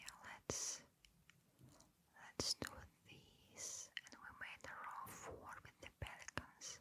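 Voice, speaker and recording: Someone whispers in a calm tone at a very slow pace. Long, frequent pauses break up the speech. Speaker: ASMR creator. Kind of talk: ASMR gameplay commentary. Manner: quiet whisper; soft-spoken, calm.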